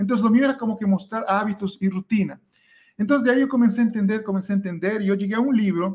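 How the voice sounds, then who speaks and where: Very fast speech from a man, his pitch shifting in an ordinary way. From Ecuador. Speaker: scholarship mentor. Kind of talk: interview.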